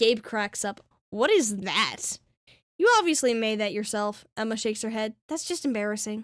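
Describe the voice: Someone reads plainly out loud, and the background is quiet.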